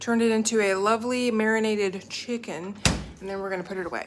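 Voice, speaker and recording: Through noticeable background noise comes a woman's fairly high-pitched voice with an upbeat tone. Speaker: cooking vlogger. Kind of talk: casual vlog tutorial. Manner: fast.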